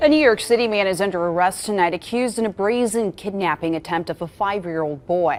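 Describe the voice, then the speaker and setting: A woman's very fast, lively speech at medium pitch with hardly any pauses, over music in the background. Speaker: TV news anchor and reporter. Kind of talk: studio anchor read of news headlines.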